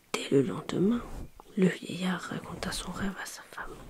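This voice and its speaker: Noticeable background noise fills the backdrop. Against it, a woman whispers at a fairly slow speed. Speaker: ASMR storyteller. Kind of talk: sleep story reading. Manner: soft-spoken.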